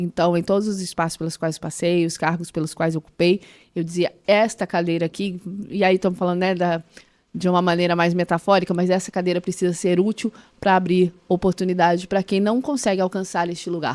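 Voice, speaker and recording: At a fairly quick pace, a woman with a fairly low pitch speaks in fairly even intonation, with a dry, close sound with no echo. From Brazil, Mato Grosso do Sul. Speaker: former public official, entrepreneurship. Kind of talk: podcast interview. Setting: podcast studio.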